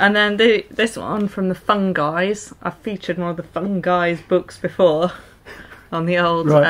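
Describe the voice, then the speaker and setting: A woman's fairly low voice with fairly even intonation, an unremarkable speaking voice. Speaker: vlogger. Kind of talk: casual vlog chat. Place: home room. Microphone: camera far.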